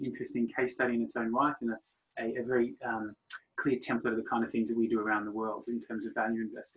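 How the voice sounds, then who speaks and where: A man's medium-pitched voice at a very fast pace. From Australia. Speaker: fund manager. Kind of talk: interview on a webinar. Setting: webinar.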